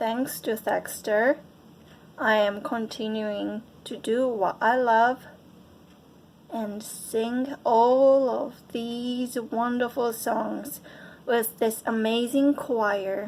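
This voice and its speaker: Speaking very slowly with fairly even intonation, a woman with a Japanese accent uses a fairly high pitch. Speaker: choir member. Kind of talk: testimony.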